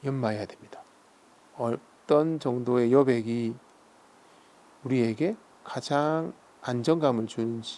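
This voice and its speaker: With a dark, mellow, calm tone, a man of medium pitch speaks at a very slow pace with fairly even intonation and long, frequent pauses. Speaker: seal carving and calligraphy artist. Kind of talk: casual talk-through of his craft while working, explaining terms. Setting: quiet workshop, close recording with stone grinding sounds. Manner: calm, soft-spoken, reflective.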